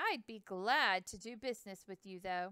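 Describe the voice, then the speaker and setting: Moderate pace and middle pitch in a put-on character voice. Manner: friendly.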